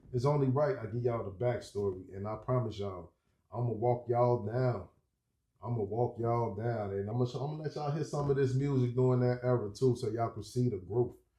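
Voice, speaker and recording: A man talks at a fairly quick pace. His voice is somewhat breathy with a dark, mellow tone. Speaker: rapper and music video creator. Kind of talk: casual vlog review. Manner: animated.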